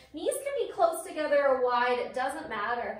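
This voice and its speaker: A woman speaks in a high pitch, with audible echo from the room. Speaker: yoga instructor. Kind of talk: guided yoga class with breath cues. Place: home room. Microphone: camera far.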